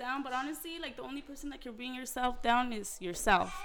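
Over noticeable background noise and audible room echo, a woman speaks very fast in a high pitch with ordinary pitch variation. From New Mexico, Santa Fe. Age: 20s. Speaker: guest. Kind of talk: casual chat.

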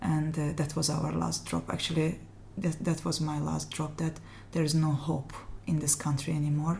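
With an Azerbaijani accent, a woman speaks at a fairly slow pace in a very deep, low pitch with vocal fry and ordinary pitch variation. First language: Azerbaijani (speaking Hungarian). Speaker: refugee. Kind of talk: interview. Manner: halting.

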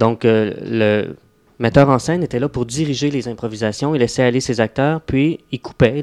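A man in an ordinary speaking voice talks at a moderate pace and medium pitch with fairly even intonation, the sound dry and close with no echo against a quiet background. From Quebec, Laurentians (Mont-Tremblant area). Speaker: actor. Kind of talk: radio interview.

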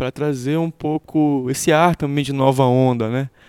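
A man speaks at a moderate pace with fairly even intonation, his tone dark and mellow at a fairly high pitch. The sound is dry and close with no echo, in a very clean recording with a silent background. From Pará, Brazil. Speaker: musician. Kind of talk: interview. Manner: halting.

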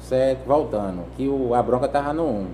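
The recording has audible room echo. The speech moves at a fairly slow pace. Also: man. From Brazilian Northeast, Juazeiro do Norte, Ceará. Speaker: vehicle sticker installer. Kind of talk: casual interview. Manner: halting, repeats words.

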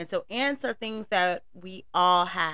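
A woman with an American accent speaks in a fairly low pitch, her tone bright and sharp. The recording is very clean, with a silent background. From US South, North Carolina. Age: 30s. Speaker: podcast host. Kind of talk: casual monologue. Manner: laughs often.

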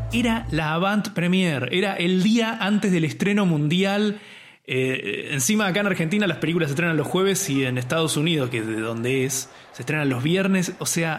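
High male speech at a moderate pace with lively intonation, amid audible room echo and noticeable background noise. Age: 30s. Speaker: film podcast host. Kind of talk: casual chat.

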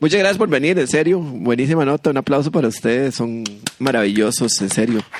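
A man's medium-pitched voice, fairly quick and lively in intonation, with very even loudness and noticeable background noise. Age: 40s. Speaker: podcast co-host, comedian. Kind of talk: casual comedic chat.

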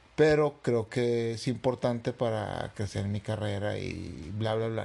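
Over music in the background, a man talks at a fairly slow pace, his fairly low voice holding a fairly even intonation. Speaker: podcast co-host. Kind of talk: casual chat.

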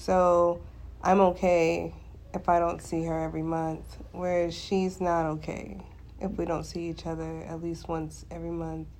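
A woman talks in a raspy voice at a fairly slow pace. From Alaska. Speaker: podcast co-host, active duty military member. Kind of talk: casual chat.

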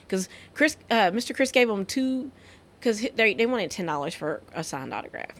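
A woman's fairly high voice at a fairly quick pace, with very wide pitch swings. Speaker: podcast host. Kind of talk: casual chat. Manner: animated.

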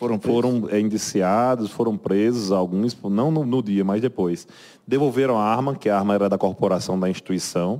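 A man with a dark, mellow tone talks at a fairly low pitch and a moderate pace. His loudness stays very even, with ordinary pitch variation. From Brazil, Paraíba (João Pessoa). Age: 40s. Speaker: military police captain. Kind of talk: interview. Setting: studio. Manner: halting, many repetitions and fillers.

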